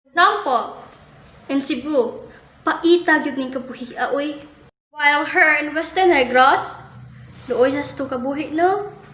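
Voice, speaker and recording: Speech comes at a fairly slow pace with long, frequent pauses, ordinary pitch variation and a bright, sharp tone, with audible room echo. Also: woman, high pitch for a woman. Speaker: student presenter. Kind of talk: educational presentation.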